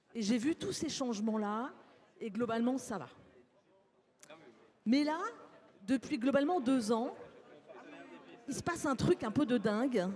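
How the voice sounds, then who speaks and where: The voice moves at a moderate pace with ordinary pitch variation against noticeable background noise. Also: woman. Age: 60s. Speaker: psychologist, conference speaker. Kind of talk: conference talk. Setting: stage with live audience.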